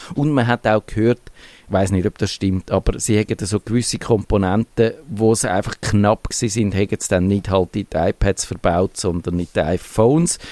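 A man with a Swiss accent, dark and mellow in tone, ordinary pitch variation, dry and close with no echo. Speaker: podcast host. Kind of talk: casual chat.

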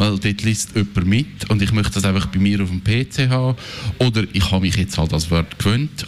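A man speaks at a moderate pace with lively intonation. There is noticeable background noise. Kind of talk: casual chat.

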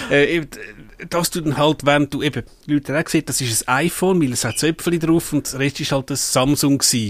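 Fairly quick and fairly even in intonation, a man with a Swiss accent speaks at a fairly high pitch. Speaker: tech podcast co-host. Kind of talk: casual chat. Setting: studio.

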